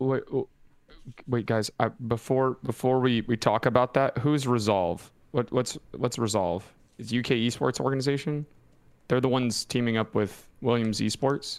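A man with an unremarkable speaking voice talks at a moderate pace and a medium pitch, with ordinary pitch variation. His loudness stays very even on a very clean recording with a silent background. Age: late 20s. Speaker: esports podcast co-host. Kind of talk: casual chat. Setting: live stream.

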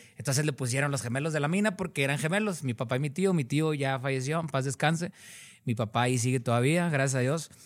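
A man's very fast, very evenly loud voice, fairly high in pitch, with ordinary pitch variation, on a very clean recording with a silent background. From Cadereyta Jiménez, Nuevo León, northern Mexico. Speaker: singer. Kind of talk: interview.

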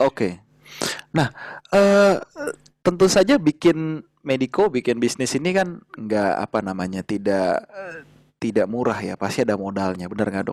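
On a very clean recording with a silent background, a man speaks at a fairly slow pace with very wide pitch swings. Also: medium pitch for a man, dry, close sound with no echo. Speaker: doctor and podcast host. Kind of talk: casual interview.

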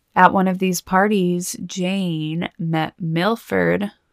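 In a plain, everyday voice, a woman speaks at a fairly low pitch with fairly even intonation, the recording very clean with a silent background and a dry, close sound with no echo. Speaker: true crime podcast host. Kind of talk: true-crime narration, scripted storytelling with chatty asides. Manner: measured, serious storyteller pace, conversational; warm, casual, occasionally playful.

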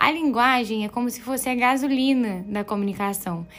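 A woman with an unremarkable speaking voice, moderate pace and ordinary pitch variation, in a very clean recording with a silent background. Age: 20s. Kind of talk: devotional teaching talk. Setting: home bedroom. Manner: casual, conversational.

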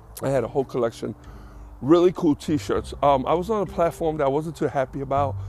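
Speaking at a very fast pace, a man with a fairly high voice shows vocal fry. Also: ordinary pitch variation. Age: 50s. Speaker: podcast host. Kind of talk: solo monologue. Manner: casual, halting with fillers.

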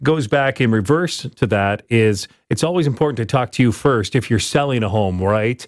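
A man with an ordinary speaking voice, medium pitch and ordinary pitch variation, at a moderate pace with hardly any pauses. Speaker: radio host. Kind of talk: radio host patter, friendly show intros and segment links. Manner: warm, upbeat, smooth.

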